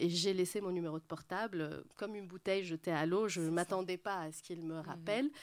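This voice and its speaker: In an ordinary speaking voice, a woman talks at a fairly quick pace with hardly any pauses, her fairly low pitch showing ordinary pitch variation on a very clean recording with a silent background. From Lebanon, Beirut. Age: 40s. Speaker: interior architect. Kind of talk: public panel talk.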